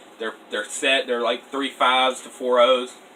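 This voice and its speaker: A man speaks at medium pitch. Noticeable background noise is present. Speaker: airsoft youtuber. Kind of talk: casual tutorial. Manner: quiet, late at night.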